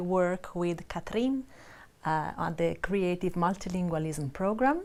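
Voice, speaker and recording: Her strong Italian accent comes through as the woman speaks at a fairly slow pace and medium pitch with ordinary pitch variation. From Italy. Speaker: language researcher. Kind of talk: panel discussion. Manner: hesitant, many fillers.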